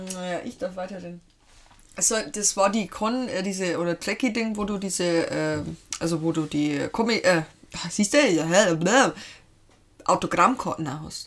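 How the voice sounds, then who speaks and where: A woman at a medium pitch and fairly slow pace, long, frequent pauses, ordinary pitch variation, very clean recording with a silent background. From Lower Bavaria, Germany. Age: 30s. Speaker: host's wife, pop culture fan. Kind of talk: casual chat.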